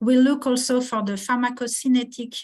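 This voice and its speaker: A somewhat breathy woman at a moderate pace against a quiet background. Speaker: pediatric oncologist. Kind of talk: research presentation. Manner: halting, many hesitations.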